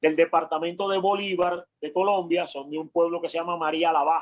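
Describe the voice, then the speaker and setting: A man speaks with a Cuban accent at a high pitch. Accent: Cuban Caribbean accent, still kept. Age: 60s. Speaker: law professor and lawyer. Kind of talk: interview.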